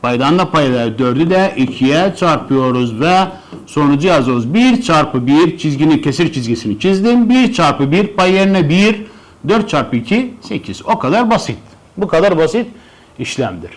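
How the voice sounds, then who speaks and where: At a fairly slow pace, a man speaks at a fairly high pitch with very wide pitch swings and very even loudness. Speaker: math teacher. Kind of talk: tutorial.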